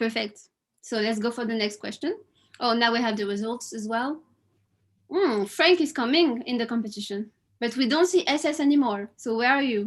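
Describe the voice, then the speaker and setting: A woman with a French accent speaks at a moderate pace in a fairly high voice. Her intonation is lively, and the background is quiet. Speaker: quiz host at online event. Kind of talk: live quiz hosting. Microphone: webcam.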